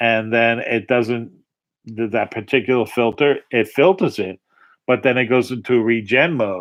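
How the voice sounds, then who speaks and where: The speaker has a Long Island accent and a fairly slow pace. The intonation is fairly even. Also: man. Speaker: political livestream host. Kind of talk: casual rant. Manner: halting, with many repeats and fillers.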